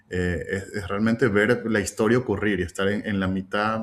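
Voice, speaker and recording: Speaking at a fairly slow pace, a man has an unremarkable speaking voice with fairly low pitch. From Ecuador, Quito. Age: 40s. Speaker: UX design strategist. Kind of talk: interview.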